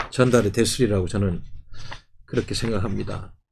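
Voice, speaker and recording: Somewhat breathy, a man speaks at medium pitch. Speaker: party policy chief and commentator. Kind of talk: political commentary monologue.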